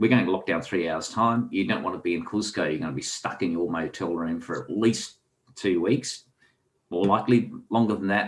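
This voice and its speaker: Very deep and low in pitch, a man speaks with a strong Australian accent. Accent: heavy Australian. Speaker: author and angler. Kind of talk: casual interview chat.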